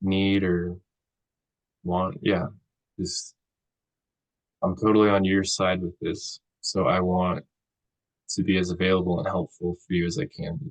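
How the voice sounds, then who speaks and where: Soft-spoken and very deep, low in pitch, a man talks at a fairly slow pace with fairly even intonation in a dry, close sound with no echo. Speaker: counseling student. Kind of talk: counseling role play. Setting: video call.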